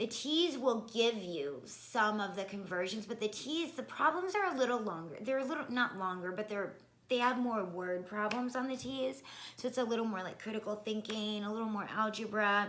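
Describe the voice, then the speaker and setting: A woman's fairly high, lively voice with audible room echo and noticeable background noise. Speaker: nursing school applicant. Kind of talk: casual vlog advice. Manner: fast.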